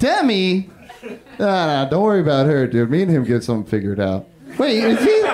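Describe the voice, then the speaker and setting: With an American accent, a man talks at a fairly quick pace in a high pitch, making very wide pitch swings at very even loudness, over noticeable background noise. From Northern California, Humboldt County. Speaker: stand-up comedian. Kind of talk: stand-up. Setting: stage with audience.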